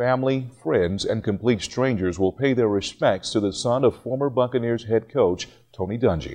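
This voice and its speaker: A man speaks at a moderate pace with a dark, mellow tone. His pitch varies in an ordinary way. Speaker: television news anchor. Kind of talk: television news anchor read.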